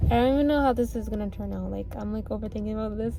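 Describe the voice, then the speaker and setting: A woman talks very fast amid noticeable background noise and audible room echo. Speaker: vlogger. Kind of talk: casual vlog monologue. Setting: outdoors at the beach. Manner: stuttering, repeats herself; fast, rambling.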